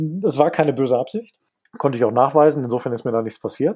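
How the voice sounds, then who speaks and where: A man speaks at a fairly quick clip with a fairly high pitch. His tone is dark and mellow. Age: 40s. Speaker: listener sharing personal insolvency story. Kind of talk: interview testimony.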